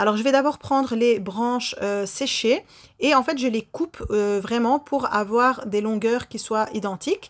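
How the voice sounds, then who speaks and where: A woman's fairly high voice, showing ordinary pitch variation, moves at a fairly slow pace. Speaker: baking youtuber. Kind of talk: baking tutorial voice-over; channel outro. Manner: frequent hesitations.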